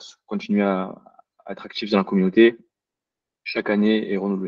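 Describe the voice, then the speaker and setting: A man with a southern French accent speaks at a fairly low pitch in a dark, mellow tone, recorded dry and close with no echo. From southern France (Marseille area). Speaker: cloud solutions architect, webinar speaker. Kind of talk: webinar presentation. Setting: online webinar. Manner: hesitant, many fillers.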